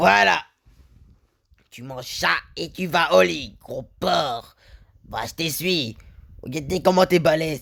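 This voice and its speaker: A man's put-on character voice, fairly slow, broken by long, frequent pauses. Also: fairly high pitch for a man. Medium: dub.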